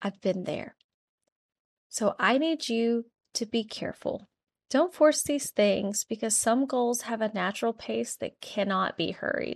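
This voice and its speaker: A woman with a normal speaking voice at a fairly high pitch and fairly slow pace, ordinary pitch variation, a dry, close sound with no echo and a quiet background. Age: 30s. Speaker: nurse podcast host. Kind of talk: solo podcast monologue.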